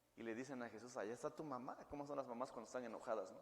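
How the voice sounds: A man talks very fast at a medium pitch, with ordinary pitch variation.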